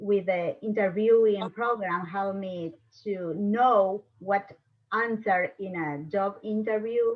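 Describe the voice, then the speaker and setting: Speaking very slowly with a non-native accent, a woman holds a medium pitch and fairly even intonation. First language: Spanish. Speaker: panelist, former newspaper editor. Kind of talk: panel discussion.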